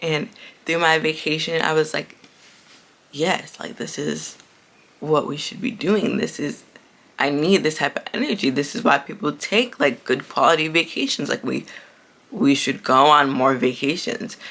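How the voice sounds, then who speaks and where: A woman with a very deep, low pitch, an animated tone and lively intonation, broken by long, frequent pauses. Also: moderate pace. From Haitian heritage. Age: 20s. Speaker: podcast host. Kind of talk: casual chat.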